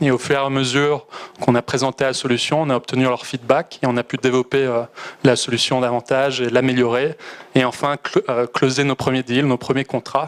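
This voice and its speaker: A man talks at a fairly quick pace in a Belgian accent, with medium pitch and monotone, flat intonation. The sound is dry and close with no echo, though background noise is noticeable. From Belgium. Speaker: startup founder. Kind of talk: startup pitch.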